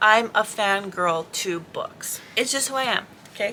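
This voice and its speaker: A woman mumbles at a fairly slow pace with a fairly high pitch. Background noise is noticeable. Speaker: vlogger. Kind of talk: casual vlog monologue. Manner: mumbling.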